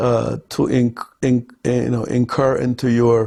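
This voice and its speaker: The man's voice has a dark, mellow tone at a medium pitch. It is somewhat breathy. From Ethiopia, Gondar. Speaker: film director. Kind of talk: interview answer.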